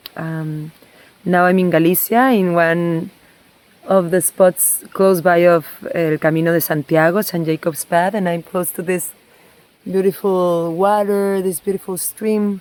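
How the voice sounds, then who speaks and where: With a Spanish accent, a woman talks at a fairly slow pace in a fairly low pitch, her intonation fairly even. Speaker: somatic movement and water therapy practitioner. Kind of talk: reflective personal vlog. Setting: outdoors by a stream.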